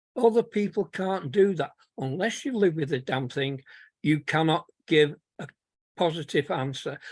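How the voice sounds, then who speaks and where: A man with a Manchester accent talks at a moderate pace and a fairly high pitch, his intonation lively and his pauses long and frequent, in a dry, close sound with no echo. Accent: Manchester accent retained. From Manchester, northern England. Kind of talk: webinar testimony.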